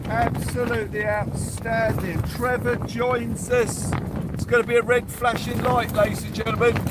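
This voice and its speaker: Noticeable background noise and audible room echo, with a man at a moderate speed. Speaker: angler livestreamer. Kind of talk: live fishing stream chat. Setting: fishing shelter on beach in storm. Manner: loud, shouting over wind.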